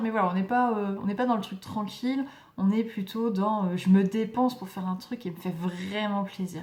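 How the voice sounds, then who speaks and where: A woman speaks at a moderate pace in a medium pitch. Her intonation is fairly even. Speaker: tarot reader. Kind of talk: tarot reading. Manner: hesitant, many fillers.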